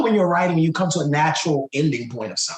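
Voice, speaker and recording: A man with an enthusiastic tone over noticeable background noise. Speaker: author and writing coach. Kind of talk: motivational talk show monologue. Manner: enthusiastic, conversational.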